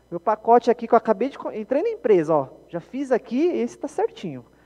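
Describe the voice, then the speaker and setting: An animated man talks at a fairly quick pace in a dry, close sound with no echo, amid noticeable background noise. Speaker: software developer and conference speaker. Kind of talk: conference talk. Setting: stage with audience. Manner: fast.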